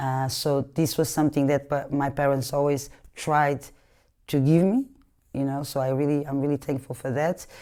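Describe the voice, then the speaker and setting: A woman's very deep, low voice with a dark, mellow tone and monotone, flat intonation, at a moderate pace, on a very clean recording with a silent background. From Portugal, Lisbon suburbs. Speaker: capoeira teacher. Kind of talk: interview. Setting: living room. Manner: halting, many fillers.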